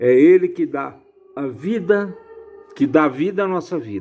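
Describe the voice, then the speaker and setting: Over music in the background, a man with a fairly high voice speaks fairly slowly, with lively intonation. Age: 70s. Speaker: lay religious commentator. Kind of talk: informal bible reflection. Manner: casual, repetitive.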